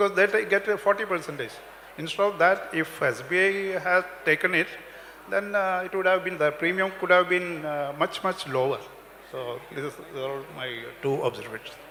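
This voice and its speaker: A man speaks with a high pitch. Noticeable background noise is present. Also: ordinary pitch variation. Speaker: retired bank officer. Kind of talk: public meeting speech. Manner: halting.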